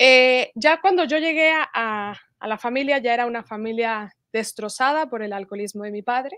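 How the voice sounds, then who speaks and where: A bright, sharp tone at a moderate pace, with ordinary pitch variation and hardly any pauses, in a dry sound with no echo and a quiet background. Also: woman, high pitch for a woman. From Mexico (Morelia, Michoacán); Michoacán, Mexico. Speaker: religious convert sharing testimony; interview guest. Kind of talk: testimony. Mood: earnest, reflective. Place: home room. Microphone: video call.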